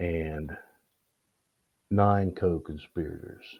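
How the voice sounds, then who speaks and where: Speaking at a very slow pace, a man uses ordinary pitch variation. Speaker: local news presenter. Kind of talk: news commentary broadcast. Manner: halting, stammering.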